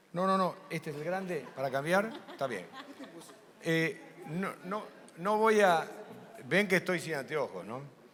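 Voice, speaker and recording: Speaking with lively intonation at a fairly slow pace, a man with a high pitch leaves long, frequent pauses, and audible room echo surrounds him. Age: 70s. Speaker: ophthalmic surgeon. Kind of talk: conference talk.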